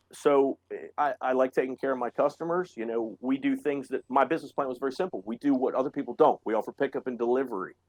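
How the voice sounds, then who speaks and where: Very fast speech from a man at medium pitch, with hardly any pauses, ordinary pitch variation and a dry, close sound with no echo. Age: 40s. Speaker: auto shop owner. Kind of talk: casual chat.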